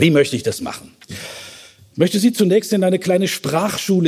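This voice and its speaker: This man speaks with a high pitch. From Germany, Westphalia. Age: 50s. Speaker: theologian. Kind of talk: lecture.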